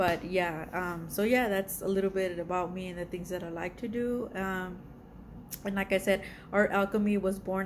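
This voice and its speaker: A woman with a Spanish accent at a medium pitch, with fairly even intonation and a moderate pace. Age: 40s. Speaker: art YouTuber. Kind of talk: casual vlog self-introduction. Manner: hesitant, many fillers.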